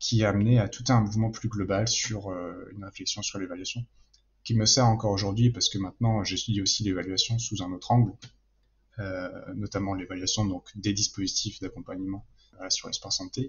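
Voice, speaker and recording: Somewhat breathy, a man speaks at a fairly quick pace, at a fairly low pitch, in monotone, flat intonation. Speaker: political science PhD student. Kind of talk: interview answer. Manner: calm, measured.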